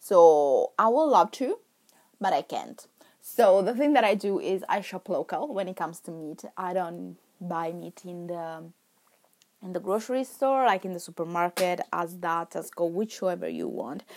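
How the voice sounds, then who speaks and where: With an Italian accent, a woman talks at a moderate pace and medium pitch with lively intonation, in a very clean recording with a silent background. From Milan, Italy. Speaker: podcast host. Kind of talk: casual monologue. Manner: rambling, laughing often.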